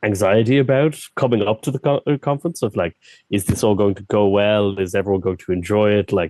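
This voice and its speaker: With a western Irish accent, a man speaks at a fairly low pitch and a fairly quick pace, with ordinary pitch variation. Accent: Irish (west of Ireland). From Ireland, County Clare. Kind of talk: interview conversation.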